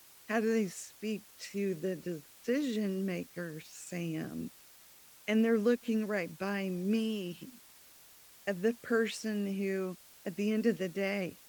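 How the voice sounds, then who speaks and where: A woman speaks at a very slow pace with fairly even intonation, leaving long, frequent pauses. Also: medium pitch for a woman. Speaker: business owner, CEO of a sign company. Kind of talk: podcast interview. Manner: quiet.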